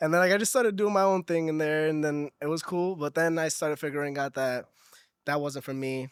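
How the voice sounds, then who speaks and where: A man with a normal speaking voice talks fairly quickly, pitched fairly high, with ordinary pitch variation. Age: 20s. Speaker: salsa singer and pianist. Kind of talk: casual chat. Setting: cafe.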